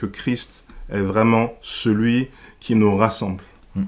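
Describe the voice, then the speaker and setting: Speaking at a very slow pace, the man has a medium-pitched voice. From Senegal. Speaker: church member and food blogger. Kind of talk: casual discussion. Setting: podcast recording. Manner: halting.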